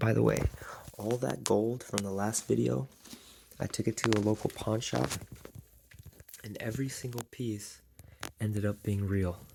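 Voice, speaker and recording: A soft-spoken man talks at a moderate pace with lively intonation and a fairly low pitch. He leaves long, frequent pauses. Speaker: reseller vlogger. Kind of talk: casual vlog.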